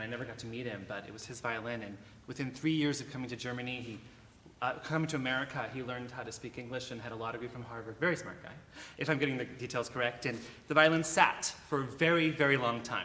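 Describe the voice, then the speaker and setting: A man's medium-pitched voice at a very fast pace, with big swings in loudness and fairly even intonation, amid noticeable background noise and audible room echo. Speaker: violin soloist. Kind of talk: speech to a concert audience. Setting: church concert stage with audience. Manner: halting, many fillers. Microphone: no microphone, later declined.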